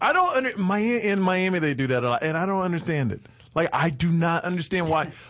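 Using lively intonation, a high-pitched man with an American accent speaks at a fairly quick pace. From Texas. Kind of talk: casual chat.

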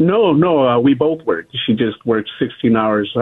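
At a moderate pace, a man talks in an ordinary speaking voice with lively intonation. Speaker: caller. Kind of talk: casual chat. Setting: phone call.

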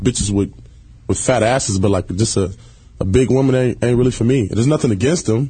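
At a very fast pace, a man speaks in a somewhat breathy, dark, mellow voice with very even loudness. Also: medium pitch for a man, ordinary pitch variation. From Detroit, Michigan (west side). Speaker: reality TV personality. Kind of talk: casual chat. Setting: studio.

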